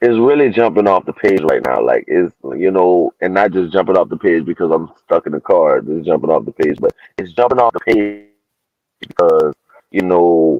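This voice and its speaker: A man talks in a Louisiana accent. His pace is moderate. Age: young. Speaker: panel regular on a bible study show. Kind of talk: casual chat. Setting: in a car. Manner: halting.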